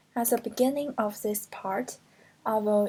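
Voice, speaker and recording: A woman with a Chinese accent speaks at a fairly high pitch and a fairly slow pace. Her tone is dark, mellow and somewhat breathy, with fairly even intonation. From China (Hunan). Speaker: postgraduate translation student. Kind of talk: class presentation.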